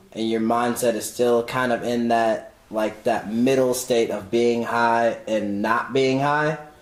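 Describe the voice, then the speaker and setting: A man talks at a fairly slow pace with hardly any pauses, in a medium pitch and a monotone, flat intonation. Noticeable background noise runs behind him. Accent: American. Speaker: podcast guest. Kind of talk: casual chat. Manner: clear and concise.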